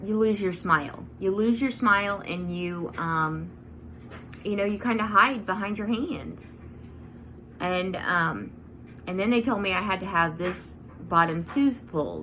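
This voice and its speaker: A woman at medium pitch, lively intonation, a fairly slow pace and audible room echo. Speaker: craft and lifestyle vlogger. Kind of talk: personal vlog. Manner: halting, many fillers.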